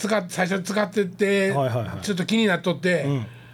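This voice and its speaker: Over noticeable background noise, a man speaks in a Kansai accent. His pitch is high and swings very widely. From Kansai, Japan. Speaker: podcast host. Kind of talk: casual chat.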